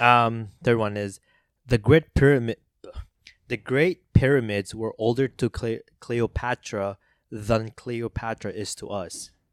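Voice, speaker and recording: A man with a non-native accent talks fairly slowly at a medium pitch, his intonation fairly even but his loudness swinging widely, in a very clean recording with a silent background. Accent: non-native accent, noticeable on some words. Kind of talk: casual chat. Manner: halting, many fillers and repeats.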